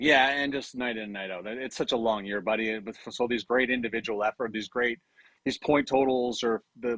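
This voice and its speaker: Speaking at a fairly quick pace, a man with a Canadian accent has an unremarkable speaking voice, medium in pitch, with fairly even intonation. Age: 50s. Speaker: fantasy sports scout and hockey broadcaster. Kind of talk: casual chat.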